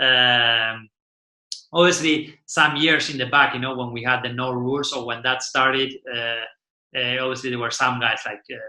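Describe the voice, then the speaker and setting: A man talks with an Argentinian accent. His intonation stays fairly even. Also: medium pitch for a man, moderate pace. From Argentina. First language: Spanish. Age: 40s. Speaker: windsurfing champion and class manager. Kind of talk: podcast interview. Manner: halting, many fillers and repetitions.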